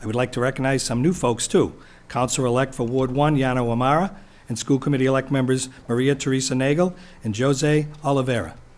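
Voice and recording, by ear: A man talks at a fairly quick pace, keeping his intonation fairly even. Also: medium pitch for a man, slightly mellow tone.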